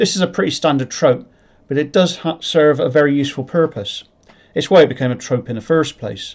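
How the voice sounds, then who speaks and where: The speaker has a rural English accent. The pace is fairly quick. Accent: rural English, sounds like a farmer. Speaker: sci-fi writer and channel creator. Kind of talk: explanatory talk to camera. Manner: halting, self-correcting; unpolished presenting style.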